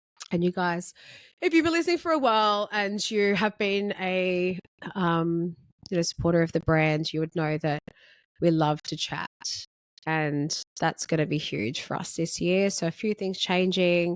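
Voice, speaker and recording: A woman with an Australian accent speaks at a fairly low pitch with ordinary variation, on a very clean recording with a silent background and a dry, close sound with no echo. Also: moderate pace. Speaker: podcast host, beauty salon owner. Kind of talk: solo podcast monologue. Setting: filmed podcast recording. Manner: casual, conversational.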